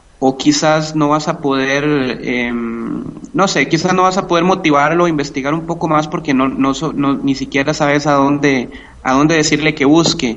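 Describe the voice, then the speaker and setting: A man with a Costa Rican accent talks at a fairly slow pace, his pitch fairly high with ordinary variation. Noticeable background noise runs underneath. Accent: Costa Rican, charming. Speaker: math and physics teacher. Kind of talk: interview. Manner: hesitant, many fillers.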